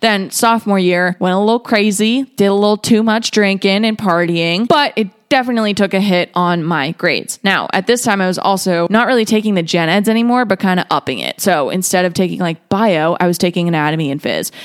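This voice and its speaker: A woman speaks in an animated tone at a medium pitch, with ordinary pitch variation. Her pace is fairly quick with hardly any pauses, on a very clean recording with a silent background. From Boston area, Massachusetts. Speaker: wellness podcast host. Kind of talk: casual monologue.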